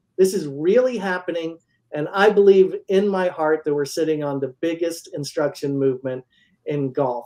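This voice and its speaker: This man has a dark, mellow tone set at a high pitch, and he speaks at a moderate pace. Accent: American. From Central Florida. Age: 50s. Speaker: golf instructor and company founder. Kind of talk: sales pitch. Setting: livestream.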